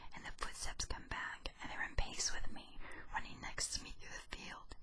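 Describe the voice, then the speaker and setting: The speaker is whispering. The pace is moderate. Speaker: YouTuber. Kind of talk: ASMR whisper reading of ghost stories. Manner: whispered.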